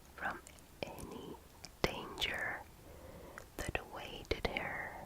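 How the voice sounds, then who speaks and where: Whispering at a very slow pace, the voice competes with noticeable background noise. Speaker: ASMR artist. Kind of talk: ASMR story reading. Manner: whispered.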